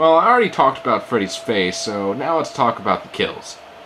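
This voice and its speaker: Fairly quick male speech amid noticeable background noise. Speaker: amateur movie reviewer. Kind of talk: movie review narration.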